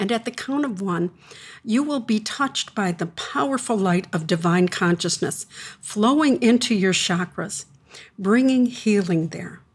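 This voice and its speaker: A somewhat breathy woman at medium pitch, fairly slow pace and lively intonation. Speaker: spiritual teacher and radio host. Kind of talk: guided meditation; live radio show with caller lines. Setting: radio studio show with open call lines. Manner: calm, slow, soothing.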